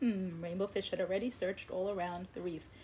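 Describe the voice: Fairly even intonation in plain reading aloud.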